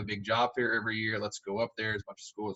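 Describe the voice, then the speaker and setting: A man speaks with a Southern US accent at a medium pitch. His intonation stays fairly even. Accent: Southern US (Georgia). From Southwest Georgia, US South. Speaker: high school football coach. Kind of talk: podcast interview.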